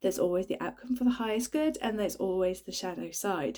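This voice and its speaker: A woman with a British accent talks at a fairly quick pace. Her pitch is medium, with ordinary variation. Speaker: spiritual astrology vlogger. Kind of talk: casual spiritual talk to camera.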